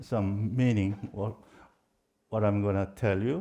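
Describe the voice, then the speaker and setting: Speaking at a fairly slow pace with a Korean accent, the voice has a dark, mellow tone. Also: man. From South Korea. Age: 70s. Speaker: professor. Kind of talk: lecture. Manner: halting.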